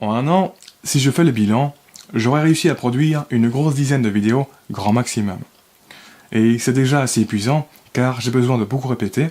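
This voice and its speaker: With ordinary pitch variation, a man talks at a moderate pace in a medium pitch. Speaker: self-development video creator. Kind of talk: scripted reading of own text. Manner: careful articulation, effortful; some cuts and breath unevenness.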